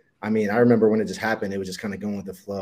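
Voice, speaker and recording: A man with a Midwestern American accent speaks in a fairly low pitch with a dark, mellow tone. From Ohio, Dayton and Columbus. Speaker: professional football player. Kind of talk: interview.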